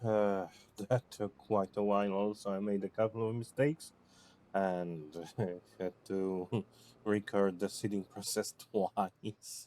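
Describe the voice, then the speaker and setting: A man with a non-native accent speaks at a fairly slow pace in a fairly low, dark, mellow voice with ordinary pitch variation, recorded with a dry, close sound and no echo. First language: not English. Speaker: gaming video creator. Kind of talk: gameplay commentary. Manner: halting.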